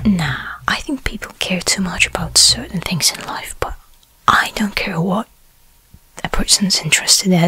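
Someone whispers in a relaxed tone. The pace is fairly slow. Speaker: role-play host. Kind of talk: soft role-play chat to viewer. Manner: soft-spoken, relaxed close-mic voice. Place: home room. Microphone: studio mic.

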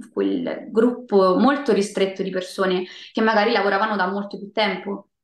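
A woman talks with ordinary pitch variation, and audible room echo surrounds her. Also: moderate pace. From Rome, Italy. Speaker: voice actress and singer. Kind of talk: interview answer. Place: home room. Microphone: video call.

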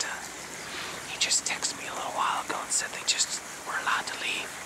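A man whispers very fast with an American accent. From Midwestern US. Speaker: whisper video creator. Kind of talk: ASMR whisper talk. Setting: outdoors by water. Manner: whispered, soft-spoken. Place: waterside.

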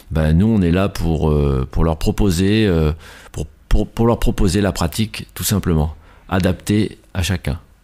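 Very slowly and with long, frequent pauses, a man speaks in a very deep, low voice with a dark, mellow tone and ordinary pitch variation, on a very clean recording with a silent background. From France, La Rochelle. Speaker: judo teacher. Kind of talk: radio interview. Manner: hesitant.

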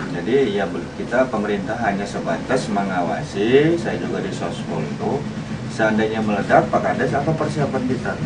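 A man at a moderate pace over loud background noise. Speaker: local village elder. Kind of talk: interview testimony. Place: home room. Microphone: camera far.

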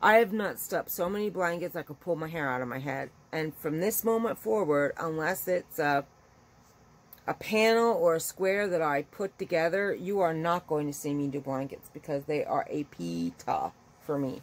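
A woman's fairly low voice carries lively intonation. She keeps a moderate pace. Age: 40s. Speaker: YouTube vlogger. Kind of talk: casual vlog monologue. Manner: rambling, conversational. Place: home room. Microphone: phone near.

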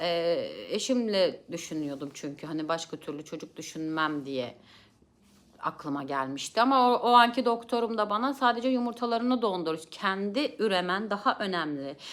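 A woman at a medium pitch, moderate in pace, with very wide pitch swings. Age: 30s. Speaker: vlogger, family counselor. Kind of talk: personal testimony. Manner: hesitant fillers.

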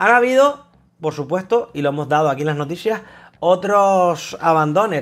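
A man speaks at a moderate pace. Nothing much sounds in the background. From Spain. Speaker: gaming YouTuber. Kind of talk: casual monologue. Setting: at his desk. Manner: halting. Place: home room. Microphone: lapel.

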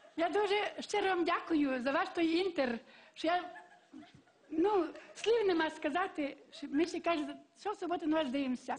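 Speaking in a western Ukrainian accent, a woman with an extremely high voice takes long, frequent pauses. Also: ordinary pitch variation, moderate pace. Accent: Galician western Ukrainian dialect. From Lviv, western Ukraine. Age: old. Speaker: comedy show contestant. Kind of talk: humorous storytelling on TV show. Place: stage. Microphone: headset.

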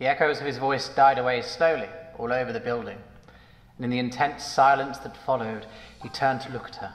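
Intonation stays fairly even. The voice reads without any forcing.

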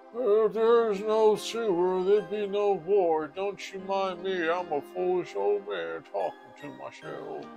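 A man's put-on character voice, high-pitched, at a fairly slow pace with hardly any pauses, over clear music in the background. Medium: virtual streamer. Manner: muttering, self-deprecating.

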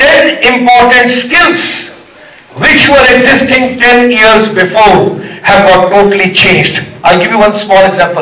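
A man at a high pitch uses a raised, projected voice and an animated tone with ordinary pitch variation. Loudness stays very even, and room echo is audible. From India. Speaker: motivational speaker. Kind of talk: pep talk; motivational speech. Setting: workshop hall with student audience. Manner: animated, crowd-rousing, call-and-response; fast, code-switching between Hindi and English. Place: hall. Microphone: pa.

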